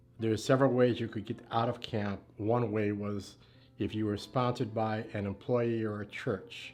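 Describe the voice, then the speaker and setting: A man with an American accent speaks at a medium pitch in a monotone, flat intonation. Music plays in the background. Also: moderate pace. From US Midwest, Cleveland, Ohio. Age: 60s. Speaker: community leader. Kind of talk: oral history interview. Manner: halting, with frequent fillers.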